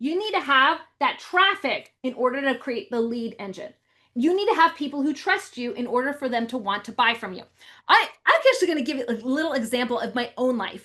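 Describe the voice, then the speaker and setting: A woman with a high pitch speaks in a raised, projected voice at a fairly quick pace against a quiet background. Her tone is animated, bright and sharp, and her intonation lively. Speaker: real estate marketing coach. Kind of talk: webinar sales pitch. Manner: fast.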